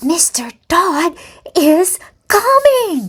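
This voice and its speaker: In a put-on character voice, a woman sounds squeaky, with an extremely high pitch and very wide pitch swings. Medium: read story.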